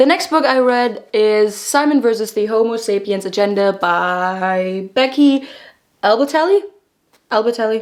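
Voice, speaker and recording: A woman with a German accent, fairly high-pitched and animated, with lively intonation at a fairly slow pace. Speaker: book vlogger. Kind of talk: book review vlog. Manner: casual, animated.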